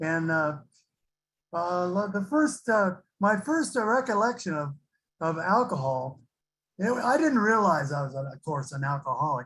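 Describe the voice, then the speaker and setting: A man's high-pitched voice with very wide pitch swings, at a moderate pace with long, frequent pauses. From California (Santa Barbara). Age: 70s. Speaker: recovering alcoholic sharing experience. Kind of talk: recovery testimony. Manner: halting, many fillers.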